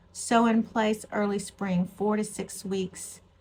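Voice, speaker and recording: Somewhat breathy and medium in pitch, a woman with an American accent talks at a very slow pace in a monotone, flat intonation. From Texas. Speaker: gardening vlogger. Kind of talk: casual vlog chat. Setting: at home with a cup of tea.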